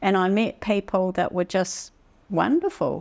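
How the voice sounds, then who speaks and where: A woman speaks at a fairly low pitch with a New Zealand accent. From New Zealand, Taranaki. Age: 60s. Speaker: photographer. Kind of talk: interview. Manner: halting.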